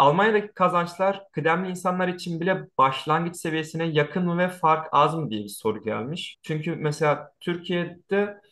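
Against a quiet background, a man speaks at a moderate pace in a high voice with lively intonation. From Turkey. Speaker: YouTube channel host; host interviewer. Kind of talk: casual interview. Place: home room. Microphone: earbuds.

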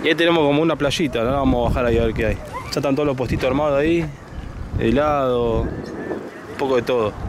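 A man with a Cordoban Argentine accent at a fairly high pitch and fairly quick pace, fairly even intonation and very even loudness, a dry sound with no echo, and noticeable background noise. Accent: Argentine Spanish, Córdoba. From Argentina, interior of Córdoba. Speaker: motorcycle travel vlogger. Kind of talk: casual travel vlog narration. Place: street. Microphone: phone near.

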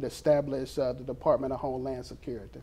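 This is a man speaking with an Alabama accent. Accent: US Southern (Alabama). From Mobile, Alabama. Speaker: school resource officer. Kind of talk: interview. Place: studio. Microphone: lapel.

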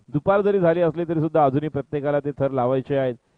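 Ordinary pitch variation runs through a man's enthusiastic tone. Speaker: sports commentator. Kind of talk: live sports commentary. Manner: enthusiastic, fluent.

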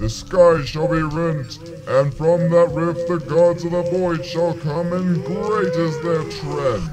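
A man puts on a character voice at a high pitch and fairly slow pace over clear background noise. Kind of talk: comic grandiose villain. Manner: pompous, menacing, theatrical.

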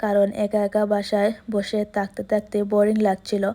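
Dark, mellow tone in a woman's voice of medium pitch, delivered with monotone, flat intonation. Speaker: vlogger. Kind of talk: casual vlog narration. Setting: at home.

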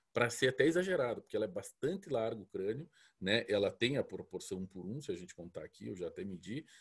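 Somewhat breathy, a man talks with lively intonation against a quiet background. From Curitiba, southern Brazil; Paraná, Brazil. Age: 40s. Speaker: dog breeder. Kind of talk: lecture. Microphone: earbuds.

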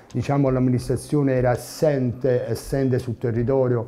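The man talks at a medium pitch and a fairly quick pace. His intonation is monotone and flat. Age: 50s. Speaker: mayoral candidate, musician; candidate. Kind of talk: political interview. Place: studio. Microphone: lapel.

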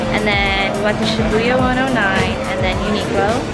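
A woman talks at a moderate pace. Loud music plays in the background. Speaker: travel vlogger. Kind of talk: casual vlog chat. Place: street. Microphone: phone near.

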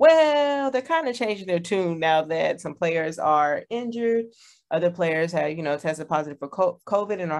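A normal speaking voice from a woman with an American accent, fairly low in pitch, at a moderate pace, over a quiet background. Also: lively intonation. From Texas. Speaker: podcast co-host. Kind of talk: casual chat.

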